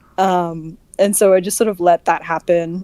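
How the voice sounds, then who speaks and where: A woman's dark, mellow tone comes across dry and close with no echo. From Australia. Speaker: voice actor. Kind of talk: casual chat. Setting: livestream voice call.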